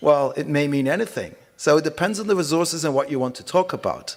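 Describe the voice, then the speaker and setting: A man speaks with a Dutch accent at a fairly quick pace. His pitch varies in an ordinary way. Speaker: conference speaker. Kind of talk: conference presentation.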